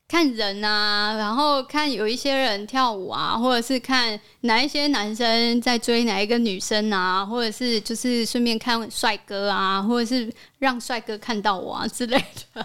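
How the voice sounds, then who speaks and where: With a bright, sharp tone, a woman speaks fairly slowly at a fairly high pitch. Her intonation is fairly even, on a very clean recording with a silent background. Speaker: podcast host. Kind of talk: casual chat.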